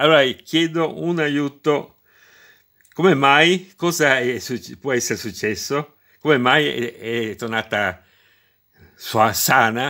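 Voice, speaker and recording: Against a quiet background, a man speaks very slowly with lively intonation and long, frequent pauses. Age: 60s. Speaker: retired electrician, DIY video maker. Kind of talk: tutorial; casual tutorial explanation. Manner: halting, repeats words. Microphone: phone near.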